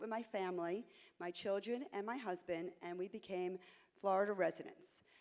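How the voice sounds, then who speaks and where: The speaker has a New York accent and talks at a moderate pace with ordinary pitch variation. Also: woman. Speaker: realtor, association candidate. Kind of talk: candidate speech at a conference.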